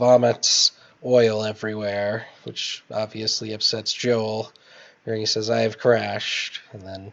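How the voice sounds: Just a natural reading voice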